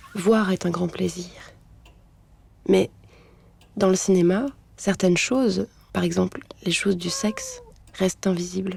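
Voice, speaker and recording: A woman talks at a fairly slow pace with long, frequent pauses. Noticeable background noise runs underneath. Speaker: actress. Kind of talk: literary voice-over narration for an animated short film. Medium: animated short film.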